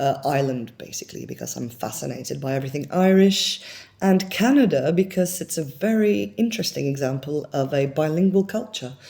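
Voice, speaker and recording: With a dark, mellow tone and very deep, low pitch, a woman speaks at a fairly quick pace and makes very wide pitch swings. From France. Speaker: actress and performer. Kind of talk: self-tape introduction. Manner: casual, many filler words.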